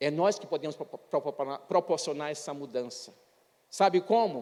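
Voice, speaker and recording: Pitch varies in an ordinary way as a man speaks. His pace is fairly slow. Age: 60s. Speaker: pastor. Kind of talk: sermon.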